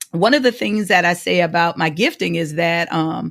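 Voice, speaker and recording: In a very clean recording with a silent background, a woman with a fairly low pitch and vocal fry speaks at a moderate pace with lively intonation. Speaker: podcast co-host. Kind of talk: casual chat. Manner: halting, repeating words.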